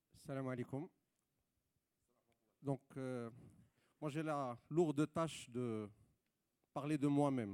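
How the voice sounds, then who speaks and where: A man talks very slowly in a dark, mellow tone, leaving long, frequent pauses. The recording is very clean, with a silent background. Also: medium pitch for a man, ordinary pitch variation. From Morocco, Rabat. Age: 30s. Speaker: entrepreneur. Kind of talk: panel talk. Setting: stage with audience. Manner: hesitant.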